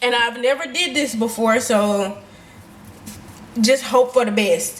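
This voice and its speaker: Noticeable background noise is present throughout. A woman's voice sits at a fairly high pitch. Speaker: lifestyle vlogger. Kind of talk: vlog voiceover narration. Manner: casual, occasional stumbles.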